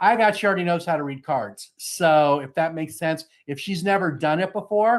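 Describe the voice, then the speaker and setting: Against a quiet background, a man with a high-pitched voice speaks at a fairly quick pace with ordinary pitch variation. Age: 60s. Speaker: psychic reader. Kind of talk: live psychic reading. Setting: live online show. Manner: fast.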